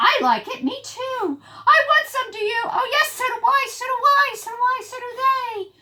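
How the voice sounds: A woman does a put-on character voice at extremely high pitch with a bright, sharp tone. Her intonation is lively and her pace moderate.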